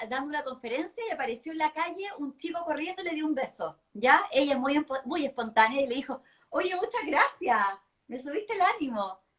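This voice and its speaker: Her voice high and her intonation lively, a woman talks at a fairly quick pace. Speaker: public speaking coach. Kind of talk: live-stream interview chat. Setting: online live stream. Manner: fast.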